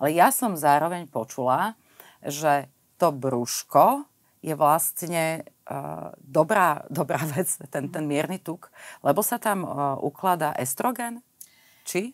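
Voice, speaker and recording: A woman speaks in a very deep, low pitch. The background is quiet. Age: 50s. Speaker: podcast host. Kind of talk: interview. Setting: recording in an arts venue. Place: studio. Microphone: lapel.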